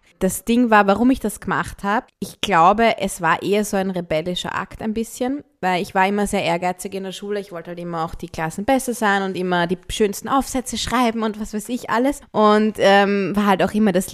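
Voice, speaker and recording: At a fairly quick pace, a woman with an ordinary speaking voice talks at medium pitch with ordinary pitch variation. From Austria, Vienna. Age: 30s. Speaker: singer-songwriter. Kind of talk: casual chat.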